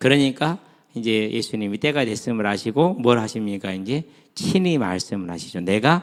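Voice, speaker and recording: Here a man has a normal speaking voice with a fairly low pitch. He moves at a moderate pace with lively intonation. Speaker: pastor. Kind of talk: sermon. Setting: church retreat. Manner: conversational, many rhetorical questions.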